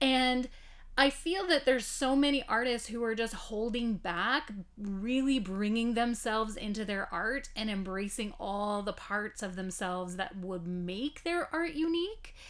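At a fairly slow pace, a woman with a fairly high pitch uses lively intonation in a normal speaking voice. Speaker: podcast host. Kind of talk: interview.

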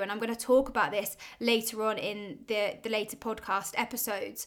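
A woman with a southern English accent talks at a moderate pace and a fairly high pitch. The recording is very clean, and the background is silent. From Oxford, England. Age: 20s. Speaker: podcast host, business owner. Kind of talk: solo personal monologue.

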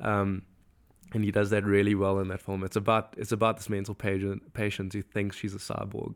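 At a fairly quick pace, a man talks in a fairly low pitch with monotone, flat intonation, on a very clean recording with a silent background. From South Africa. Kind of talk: casual podcast interview. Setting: cabin retreat.

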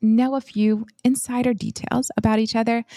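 A woman with an ordinary speaking voice speaks at a moderate pace and fairly high pitch, in a dry, close sound with no echo on a very clean recording, silent background. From US Midwest, Flint, Michigan. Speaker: physician and finance podcast co-host. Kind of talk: casual chat.

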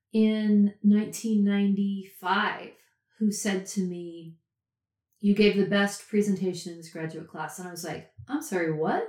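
A woman speaks at a very slow pace in a medium pitch. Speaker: writing teacher and storyteller. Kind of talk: interview conversation.

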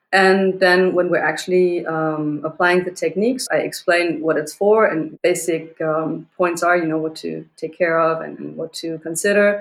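Speaking in a normal speaking voice, a woman talks at a fairly slow pace with a fairly low pitch and fairly even intonation. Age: 40s. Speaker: self-defense instructor. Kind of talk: interview.

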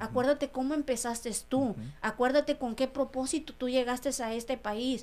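A high-pitched woman at a fairly quick pace, with monotone, flat intonation. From Mexico, Sierra Mixe of Oaxaca. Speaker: restaurant owner. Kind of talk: interview testimony.

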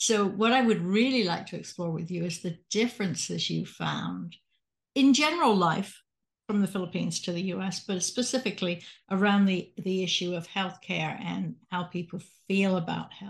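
Against a quiet background, a woman of medium pitch speaks with vocal fry. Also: ordinary pitch variation, moderate pace. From England (Salisbury). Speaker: podcast host, retired physician. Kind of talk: interview.

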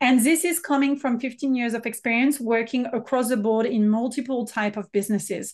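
A French accent, ordinary pitch variation, and a quiet background. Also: woman. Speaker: business mentor and consultant. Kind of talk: casual interview chat.

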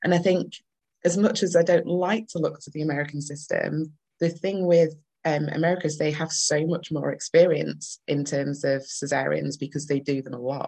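A woman with a northern English accent has a very deep, low pitch and a dark, mellow tone, speaking at a moderate pace with fairly even intonation and big swings in loudness. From Manchester, northern England. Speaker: doula. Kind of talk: casual interview chat.

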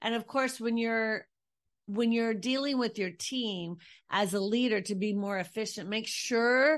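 A woman's voice with a warm tone, heard over a quiet background. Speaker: podcast host and founder of a women's leadership community. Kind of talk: solo podcast talk about leadership and efficiency. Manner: fast talker; warm, encouraging, faith-based.

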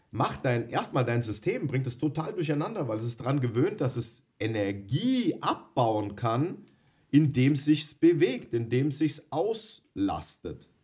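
Speaking at a very slow pace, a man with a medium pitch sounds somewhat breathy and uses lively intonation. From Bavaria, Germany. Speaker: dog trainer, podcast co-host. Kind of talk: casual chat.

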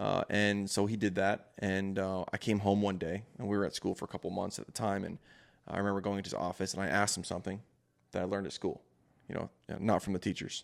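A man's fairly low voice, very fast and monotone in flat intonation, on a very clean recording with a silent background. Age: 20s. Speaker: entrepreneur and father. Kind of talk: casual chat. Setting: studio.

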